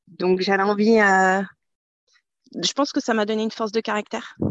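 Her intonation is fairly even. The woman speaks at a medium pitch. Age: 40s. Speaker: business owner. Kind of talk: interview. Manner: halting.

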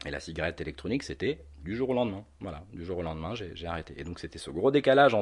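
Against a quiet background, a man speaks in a very deep, low pitch with lively intonation. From North Africa (Algeria, Tunisia). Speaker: e-cigarette shop owner. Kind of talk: interview. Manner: hesitant, many fillers.

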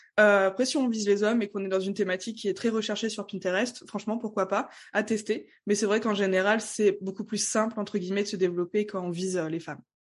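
The speech moves at a very fast pace with fairly even intonation. The background is quiet. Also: woman, medium pitch for a woman. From France, Strasbourg (Alsace). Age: 20s. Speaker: Pinterest marketing trainer. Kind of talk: podcast interview.

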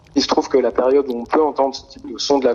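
A man's medium-pitched voice with noticeable background noise. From France, near Grenoble. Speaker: sound artist. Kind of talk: interview. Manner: halting.

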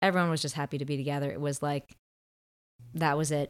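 A woman speaks in an American accent with a very deep, low pitch. The recording is very clean, with a silent background. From Massachusetts, Martha's Vineyard. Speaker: occupational therapist and camp founder. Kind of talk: casual interview conversation. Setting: indoors by a window.

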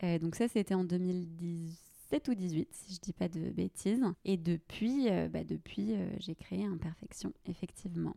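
A woman's fairly low, dark, mellow voice at a very slow pace, with ordinary pitch variation and a dry, close sound with no echo. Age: 20s. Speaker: personal stylist and podcaster. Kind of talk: casual interview.

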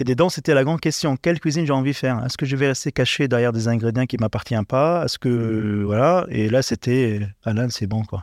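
A man's plain, everyday voice at medium pitch with ordinary pitch variation, a fairly quick pace and hardly any pauses, in a very clean recording with a silent background and a dry, close sound with no echo. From Lebanon. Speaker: chef. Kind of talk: interview.

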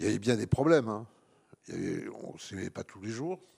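A man's dark, mellow voice at medium pitch, fairly quick, with ordinary pitch variation, recorded dry and close with no echo on a very clean recording with a silent background. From southern France, Avignon. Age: 60s. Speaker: historian and author. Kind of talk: public talk.

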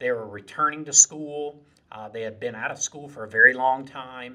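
A man speaks in a Southern US accent with a bright, sharp tone. His pitch variation is ordinary. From South Carolina Lowcountry, Moncks Corner. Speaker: community college president. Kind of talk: interview.

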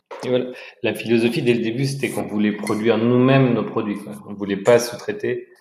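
A man speaks at a fairly quick pace with fairly even intonation. His pitch is medium, and the room echo is audible. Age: 30s. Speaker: entrepreneur. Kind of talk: casual interview. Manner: halting, repeats words.

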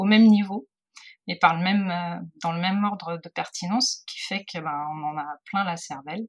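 A woman's somewhat breathy voice at a medium pitch, with ordinary pitch variation. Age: 40s. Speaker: photographer. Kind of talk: interview. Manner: halting.

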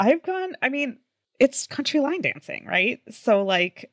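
Her pitch swings very widely as this woman speaks at a moderate pace, and the sound is dry and close with no echo. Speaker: podcast host. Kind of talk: casual chat.

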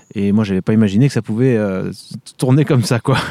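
The pace is fairly quick. A man speaks here, with pitch moving in an ordinary way. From France, Vendée. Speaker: orchestral trumpeter and conservatory professor. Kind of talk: interview. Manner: hesitant, many fillers.

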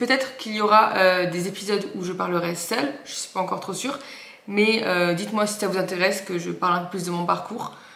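Amid noticeable background noise and audible room echo, a woman talks at a fairly quick pace, with a medium pitch and ordinary pitch variation. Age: 20s. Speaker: podcast host and online fitness coach. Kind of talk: solo podcast introduction.

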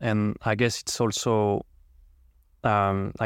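A man with a French accent and a fairly low pitch, in a dry, close sound with no echo, on a very clean recording with a silent background. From France. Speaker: podcast host. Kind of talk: interview, formal and polite.

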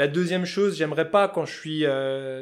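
A man in a Vosges accent, fairly high in pitch, at a fairly quick pace on a very clean recording with a silent background. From France, Vosges. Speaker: fly-tying craftsman and entrepreneur. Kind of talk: interview conversation. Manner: casual, colloquial.

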